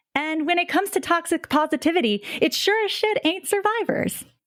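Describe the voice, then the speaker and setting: A woman in an American accent at a moderate pace. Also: very clean recording, silent background. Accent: non-regional American. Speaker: podcast co-host. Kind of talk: casual chat.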